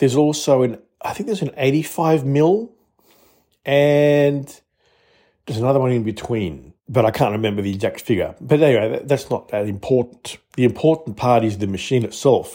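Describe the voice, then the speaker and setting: The man talks at a moderate pace with an Australian accent. His medium-pitched voice carries lively intonation. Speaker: listener contributor. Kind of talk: product demo.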